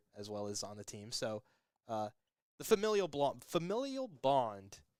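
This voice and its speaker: A man is speaking. His intonation is lively. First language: not English. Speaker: esports commentator. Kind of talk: live commentary. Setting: live stream. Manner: fast.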